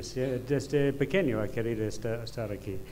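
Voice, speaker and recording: A man with an English accent at a moderate pace, fairly even in intonation, with audible room echo. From United Kingdom. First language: English (speaking Spanish). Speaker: design professor. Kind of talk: conference lecture. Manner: halting, many fillers.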